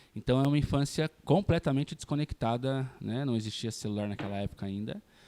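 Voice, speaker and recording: The voice has a dark, mellow tone and a fairly quick pace. The sound is dry and close, with no echo. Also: man, medium pitch for a man. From Brazil, São Paulo state (Mogi das Cruzes). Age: 30s. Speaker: psychologist and youth ministry leader. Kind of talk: interview. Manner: relaxed, conversational.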